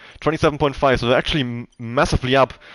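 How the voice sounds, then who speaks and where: Medium-pitched man with a German accent, recorded with a dry, close sound with no echo. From Germany. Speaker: esports race commentator. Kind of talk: live commentary. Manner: hesitant, many fillers.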